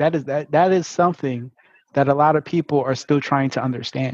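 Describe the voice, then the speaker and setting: Speaking fairly quickly in a Brooklyn accent, a man uses a fairly high pitch and fairly even intonation. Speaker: podcast host.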